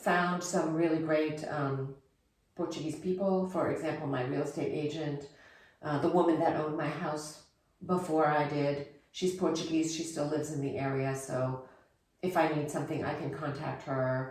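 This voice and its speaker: Through audible room echo, a woman speaks at a moderate pace in a very deep, low voice with fairly even intonation. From Germany. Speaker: expat interviewee. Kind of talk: interview.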